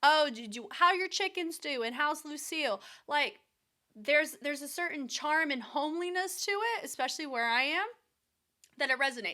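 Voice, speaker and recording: In a raised, projected voice, a woman with an American accent speaks at high pitch and a moderate pace, with lively intonation. Her tone is bright, sharp and animated, in a very clean recording with a silent background. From US South. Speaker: dance choreographer and reaction video host. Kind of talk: casual chat.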